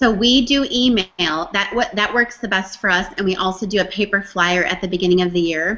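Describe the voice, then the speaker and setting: Speaking at a fairly quick pace with hardly any pauses, a woman uses a medium pitch and ordinary pitch variation. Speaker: ESL teacher and book author. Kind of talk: casual interview on a live video hangout. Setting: video call. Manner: speaks clearly.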